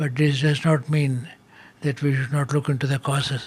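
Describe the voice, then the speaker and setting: A somewhat breathy man's voice, fairly high in pitch, in monotone, flat intonation at a moderate pace. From Kerala, India. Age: 80s+. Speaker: agriculture scientist. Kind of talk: interview answer.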